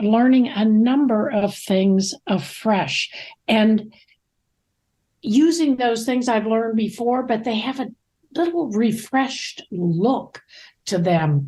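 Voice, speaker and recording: At a very slow pace with long, frequent pauses, a woman speaks in a dark, mellow, somewhat breathy tone, her fairly high pitch carrying lively intonation. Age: 80s+. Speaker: ministry leader. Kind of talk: casual chat.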